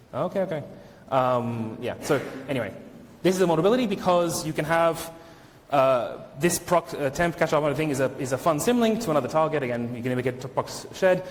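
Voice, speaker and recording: Over audible room echo, a man talks very fast with lively intonation and a fairly high pitch. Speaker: conference speaker, software engineer. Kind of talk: conference talk; Q&A answer. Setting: stage with audience.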